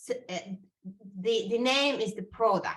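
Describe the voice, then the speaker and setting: Speaking with a non-native accent, a woman has a bright, sharp tone. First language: not English. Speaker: brand strategist. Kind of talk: interview conversation. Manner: halting, many fillers.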